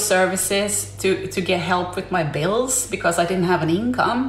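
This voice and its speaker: In a Swedish accent, a woman talks with hardly any pauses and ordinary pitch variation, amid noticeable background noise and audible room echo. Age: 40s. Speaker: livestreamer. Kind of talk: casual live stream monologue. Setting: live stream. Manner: halting.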